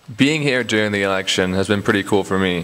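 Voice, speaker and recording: Noticeable background noise runs under this recording of a man with an American accent. He speaks at a very fast pace with ordinary pitch variation. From United States. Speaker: video presenter. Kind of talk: scripted narration.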